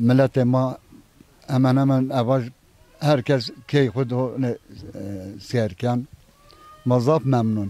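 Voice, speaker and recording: At a very slow pace broken by long, frequent pauses, a man speaks in a medium pitch with fairly even intonation. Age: 60s. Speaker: villager, retired civil servant. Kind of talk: casual interview.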